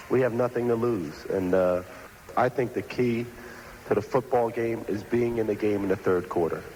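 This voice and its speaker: A normal speaking voice from a man, medium in pitch, moderately paced, with ordinary pitch variation. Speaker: professional football quarterback. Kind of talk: interview answer.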